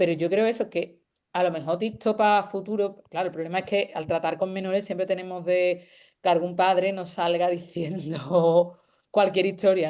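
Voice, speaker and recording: A woman's medium-pitched voice with a dark, mellow tone and fairly even intonation. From Andalusia, Spain (Seville). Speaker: university lecturer. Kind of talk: panel discussion. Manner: fast.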